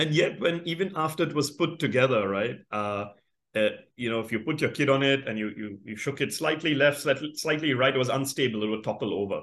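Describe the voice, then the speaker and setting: In a normal speaking voice, a man talks fairly quickly at a fairly high pitch with ordinary pitch variation. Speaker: business founder and chairman. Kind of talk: interview.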